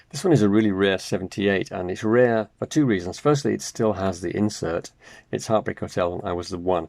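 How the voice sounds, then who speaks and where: Against a quiet background, a man speaks with a very deep, low pitch. His pitch varies in an ordinary way. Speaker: record collector video host. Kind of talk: casual collector commentary. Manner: fast.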